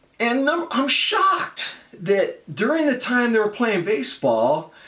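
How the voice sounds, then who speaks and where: A man's pitch swings very widely. Noticeable background noise is present. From US West Coast, San Francisco Bay Area. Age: 50s. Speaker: college writing teacher. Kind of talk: casual explanatory talk to students. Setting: home room.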